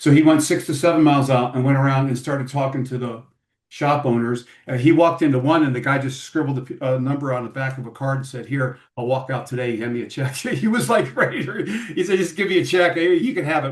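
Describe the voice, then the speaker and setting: Somewhat breathy speech at a fairly quick pace. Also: man. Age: 60s. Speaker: podcast host. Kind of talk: interview. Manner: casual, halting with repetitions.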